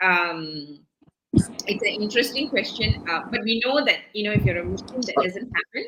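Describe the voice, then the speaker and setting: A woman speaks loudly at a moderate pace. Her pitch swings very widely. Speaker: talk show host. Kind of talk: interview. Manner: animated.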